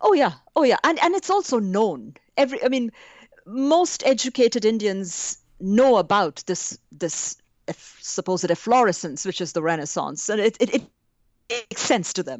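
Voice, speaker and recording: Pitch swings very widely. The pace is moderate. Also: woman, fairly high pitch for a woman. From India. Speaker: art historian. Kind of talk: academic interview conversation.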